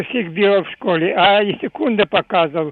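This man's voice is high in pitch, and his pace is fairly slow. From Kyiv, Ukraine. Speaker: radio caller. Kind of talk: call-in question. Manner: halting.

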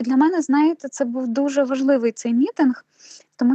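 Her voice sits high for a woman, and the sound is dry and close with no echo. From southern Ukraine, Nova Kakhovka (Kherson region). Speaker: university program director. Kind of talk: interview.

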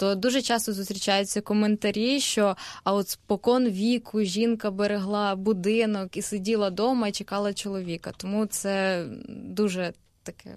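An ordinary speaking voice from a woman, medium in pitch, with fairly even intonation, a moderate pace and a quiet background. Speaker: university student. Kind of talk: radio panel discussion. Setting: radio studio.

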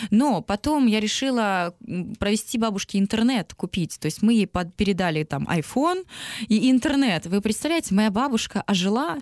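An unremarkable speaking voice with lively intonation at a moderate pace, dry and close with no echo. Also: woman, fairly high pitch for a woman. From Donetsk, eastern Ukraine. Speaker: singer. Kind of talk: interview.

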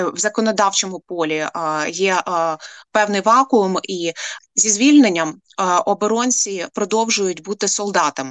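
A woman talks at a fairly slow pace, with long, frequent pauses. Her medium pitch has ordinary variation, and the sound is dry and close with no echo. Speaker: head of a nonprofit for families of prisoners of war. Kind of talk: radio interview.

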